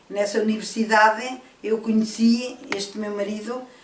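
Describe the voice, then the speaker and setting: A woman's fairly high, monotone, flat delivery at a fairly slow pace, with audible room echo and noticeable background noise. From Portugal, Trás-os-Montes. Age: 70s. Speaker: senior university student. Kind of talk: interview.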